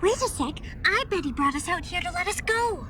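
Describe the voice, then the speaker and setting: A woman's put-on character voice, extremely high-pitched and fairly quick, over clear background noise. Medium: fan dub. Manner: emotional, outspoken.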